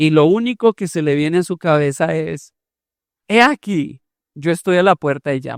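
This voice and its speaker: A man with a Colombian accent at a high pitch and moderate pace, on a very clean recording with a silent background. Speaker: pastor. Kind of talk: sermon.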